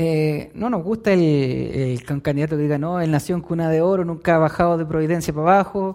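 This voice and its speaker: A man with a Chilean accent, fairly high-pitched with a dark, mellow tone, fairly quick with hardly any pauses, fairly even in intonation, on a very clean recording with a silent background. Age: 20s. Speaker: preacher. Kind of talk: sermon.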